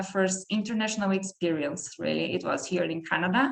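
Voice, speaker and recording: A woman with a German accent at medium pitch and a moderate pace, over noticeable background noise. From southern Brazil, countryside. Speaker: PhD researcher. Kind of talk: academic talk. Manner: halting.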